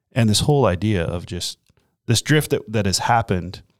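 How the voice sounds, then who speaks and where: A man speaks in a normal speaking voice, fairly low in pitch, at a moderate pace. The recording is very clean and dry, close with no echo, over a silent background. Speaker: pastor. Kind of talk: casual chat.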